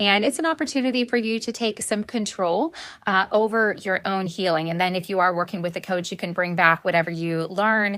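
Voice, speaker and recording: The voice has a bright, sharp tone and ordinary pitch variation, with hardly any pauses. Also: woman, medium pitch for a woman. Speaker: life and success coach. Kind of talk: casual talk to camera. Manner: animated.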